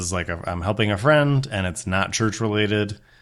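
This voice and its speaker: A plain, everyday voice from a man, fairly low in pitch and fairly quick, with ordinary pitch variation, in a very clean recording with a silent background. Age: 40s. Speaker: former pastor, podcast host. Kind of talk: casual interview chat.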